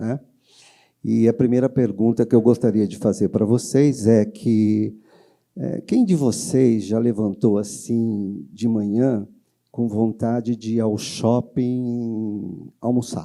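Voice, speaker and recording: The voice moves at a very slow pace with a dark, mellow tone and ordinary pitch variation. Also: man. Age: 60s. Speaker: insurance consultant. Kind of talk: lecture. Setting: stage with audience. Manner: conversational, many fillers.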